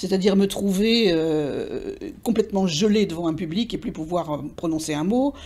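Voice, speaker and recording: A woman's medium-pitched voice with a dark, mellow tone, ordinary pitch variation and a moderate pace, in a very clean recording with a silent background. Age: 60s. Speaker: retired English teacher and literary interpreter. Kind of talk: interview monologue. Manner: hesitant, many fillers and repetitions.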